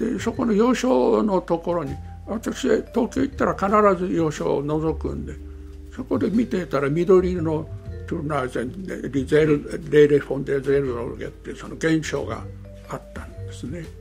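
A man speaks at a moderate pace with big swings in loudness. Music plays in the background. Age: 80s+. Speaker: pastor. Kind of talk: interview answer.

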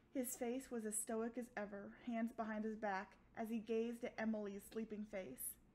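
The voice is plain reading aloud. It reads through the text.

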